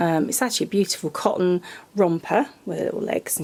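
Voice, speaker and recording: This voice belongs to a woman. She speaks with a British accent. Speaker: reborn doll artist and vlogger. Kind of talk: casual vlog. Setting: home nursery workshop. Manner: hesitant with many ums.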